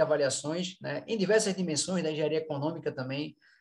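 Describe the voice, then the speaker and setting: A man's voice with ordinary pitch variation. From Brazil, Recife (Pernambuco). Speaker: event organizer, course director of a professional society. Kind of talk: online panel moderation, casual introduction. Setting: video call / online live panel. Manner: hesitant, many fillers and repetitions.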